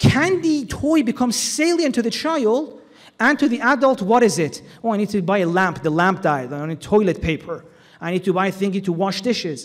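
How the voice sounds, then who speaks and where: Loud and high-pitched, a man talks at a fairly quick pace. His pitch swings very widely. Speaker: Islamic lecturer. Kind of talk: religious lecture. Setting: hall with audience, PA system.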